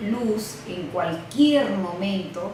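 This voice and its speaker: Speaking at a very slow pace, a woman uses a medium pitch with ordinary variation, with audible room echo and noticeable background noise. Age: 70s. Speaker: interviewee recounting history. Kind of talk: testimony. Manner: halting, with hesitations.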